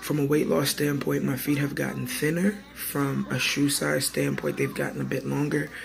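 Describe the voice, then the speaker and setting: A man speaks with music playing in the background. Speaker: vlogger and teacher. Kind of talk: personal vlog update. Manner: casual, many fillers.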